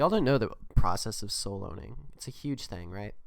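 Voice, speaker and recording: Soft-spoken, a man talks at medium pitch. His pace is moderate and his pitch variation ordinary. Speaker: gaming YouTuber. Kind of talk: gameplay commentary. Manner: quiet, soft. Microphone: holding mic close to be louder.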